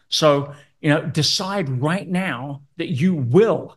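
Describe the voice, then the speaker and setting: A man speaks in a somewhat breathy voice with ordinary pitch variation. The background is quiet. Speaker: business coach. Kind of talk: online masterclass. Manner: animated.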